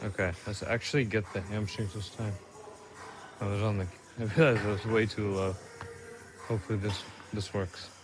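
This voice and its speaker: Music plays in the background as a man with a fairly low pitch and fairly even intonation speaks at a fairly quick pace, leaving long, frequent pauses, with audible room echo. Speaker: fitness vlogger. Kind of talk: casual gym vlog.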